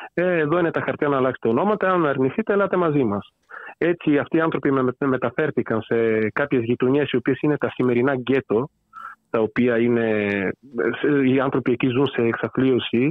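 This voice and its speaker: Very even loudness from a man with a Bulgarian accent. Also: medium pitch for a man, ordinary pitch variation, moderate pace. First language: Bulgarian (speaking Greek). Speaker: author on political theory. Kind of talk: interview. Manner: hesitant, with fillers.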